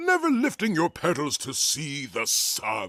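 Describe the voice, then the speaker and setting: A man in a cartoonish character voice. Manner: smug, solemn.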